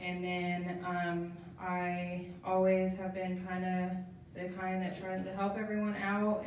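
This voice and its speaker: Soft-spoken woman with an American accent, medium pitch and monotone, flat intonation at a fairly slow pace, with audible room echo and noticeable background noise. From Southeast Kansas, military kid. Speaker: speaker sharing testimony. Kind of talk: testimony. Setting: live stream, podium with mic before audience. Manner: hesitant, many ums.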